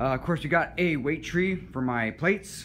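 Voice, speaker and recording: Light background noise sits under a man's voice as he speaks at a moderate pace. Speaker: personal trainer. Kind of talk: casual walkthrough tour. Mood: enthusiastic, relaxed. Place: gym. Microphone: phone near.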